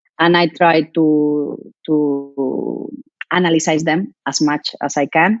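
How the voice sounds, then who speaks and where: Speaking in a Spanish accent, a woman keeps fairly even intonation in a very deep, low voice. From Spain. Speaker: professional handball player. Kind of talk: interview Q&A. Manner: halting.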